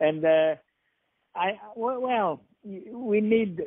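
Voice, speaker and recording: A man with a French accent and ordinary pitch variation. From France. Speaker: playwright and theater director. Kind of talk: phone interview. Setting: phone call. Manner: halting.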